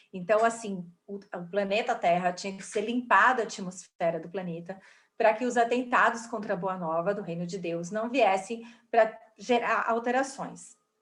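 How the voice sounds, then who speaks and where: In a room with audible echo, a woman talks at a moderate pace and a medium pitch, which varies in an ordinary way. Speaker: spiritist study class teacher. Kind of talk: lecture.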